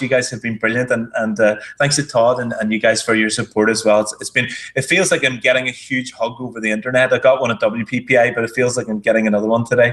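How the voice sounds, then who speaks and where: A man with a medium-pitched voice talks at a very fast pace, his intonation fairly even. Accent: Irish. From Ireland. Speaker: marketing entrepreneur. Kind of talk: casual chat.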